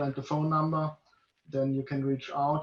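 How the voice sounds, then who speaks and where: At a moderate pace, a man with a German accent speaks in a monotone, flat intonation at a fairly high pitch. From Germany, Munich. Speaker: breathing yoga teacher. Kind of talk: interview. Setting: video call.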